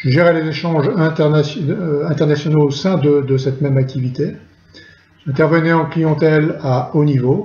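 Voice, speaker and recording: A fairly high male voice at a moderate pace, with music in the background and audible room echo. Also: fairly even intonation. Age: 60s. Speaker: retired chemical industry engineer. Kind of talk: testimony. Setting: recorded at home during lockdown. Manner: halting, frequent hesitations.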